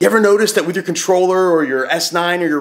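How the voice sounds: Loud and fast, a man speaks with a fairly bright tone and ordinary pitch variation.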